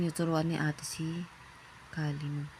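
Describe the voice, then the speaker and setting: Through noticeable background noise, a woman with a very deep, low pitch speaks at a fairly slow pace in a monotone, flat intonation. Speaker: first-time vlogger, parent. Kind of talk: casual vlog voiceover. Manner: casual, chatty.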